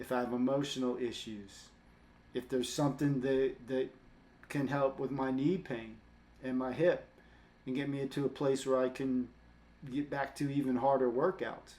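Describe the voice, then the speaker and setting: At a moderate pace, a man with a medium pitch and a dark, mellow tone speaks in a monotone, flat way, leaving long, frequent pauses. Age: 60s. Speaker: fitness coach and vlogger. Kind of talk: casual monologue to camera.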